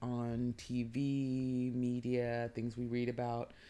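A woman with an American accent is heard on a very clean recording with a silent background. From US West Coast, San Francisco Bay Area. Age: 30s. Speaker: podcast co-host. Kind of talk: casual chat. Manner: hesitant, many fillers.

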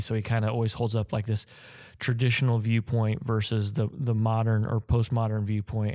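A man's ordinary speaking voice, fairly low in pitch with fairly even intonation, in a very clean recording with a silent background. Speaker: doctoral student in ministry. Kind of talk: casual chat.

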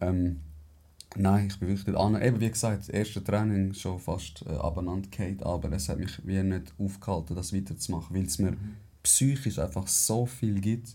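A man speaks at a moderate pace in a fairly low pitch, his dark, mellow tone somewhat breathy, with ordinary pitch variation. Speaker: podcast host. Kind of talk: casual chat.

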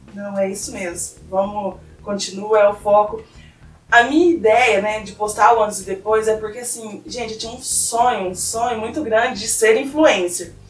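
The loudness swings widely. Noticeable background noise and audible room echo fill the recording. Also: woman, fairly high pitch for a woman, ordinary pitch variation, moderate pace. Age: 20s. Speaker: physical education graduate and weight-loss influencer. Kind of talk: casual chat.

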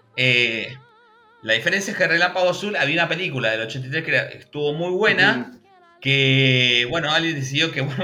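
Against noticeable background noise, a man talks at a fairly quick pace in a fairly high voice with lively intonation. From Argentina, Buenos Aires province interior near Bahía Blanca. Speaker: YouTube channel host, cartoon history specialist. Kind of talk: casual chat. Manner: animated.

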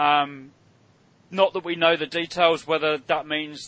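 A man's fairly high-pitched voice at a moderate pace, in a British accent. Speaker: podcast host. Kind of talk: casual chat.

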